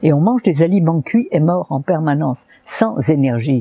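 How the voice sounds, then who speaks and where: Her voice is very deep and low in pitch, with a dark, mellow, somewhat breathy tone and lively intonation, recorded with a dry, close sound and no echo. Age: 80s+. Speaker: naturopath. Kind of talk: interview answer.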